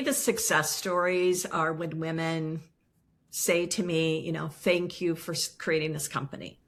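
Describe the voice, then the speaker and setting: A woman speaks fairly slowly in a fairly low pitch with a bright, sharp tone. The recording is very clean, its background silent. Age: 60s. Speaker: business founder and CEO. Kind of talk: interview.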